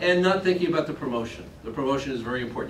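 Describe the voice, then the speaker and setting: Over noticeable background noise and audible room echo, a man speaks with lively intonation. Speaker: seminar presenter on promotional products. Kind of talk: presentation to a trade show audience. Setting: classroom at a trade show. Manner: fast.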